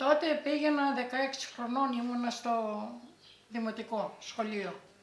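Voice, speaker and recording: Noticeable background noise sits behind a woman with a high-pitched voice. She talks at a fairly slow pace with ordinary pitch variation. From Greece, Thessaly (Elassona area). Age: 80s+. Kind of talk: oral history interview answer.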